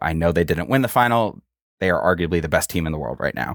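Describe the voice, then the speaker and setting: A man's very deep, low voice comes through a dry, close recording with no echo, very clean and with a silent background. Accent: American. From Minnesota, US Midwest. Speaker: soccer communications staffer. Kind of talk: casual interview.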